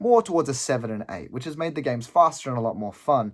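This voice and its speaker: With an Australian accent, the speaker uses lively intonation on a very clean recording with a silent background. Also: man. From Adelaide, South Australia. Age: 20s. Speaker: gaming hobbyist auditioning. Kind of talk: audition storytelling.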